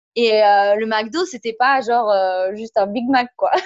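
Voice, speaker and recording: A woman's fairly high, unremarkable speaking voice at a fairly slow pace. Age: 20s. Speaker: former elite judoka and coach. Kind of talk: interview.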